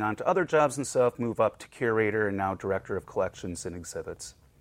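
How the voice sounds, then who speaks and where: In a General American accent, a man talks at a very fast pace with a medium pitch. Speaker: museum collections director. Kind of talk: casual interview chat.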